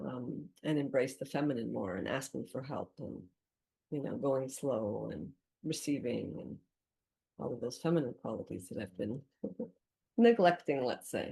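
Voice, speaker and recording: A woman speaks with a very deep, low pitch and a dark, mellow tone, with vocal fry. Her intonation is lively, her pace moderate, and her pauses long and frequent. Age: 60s. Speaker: small business owner in career transition. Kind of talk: group sharing circle.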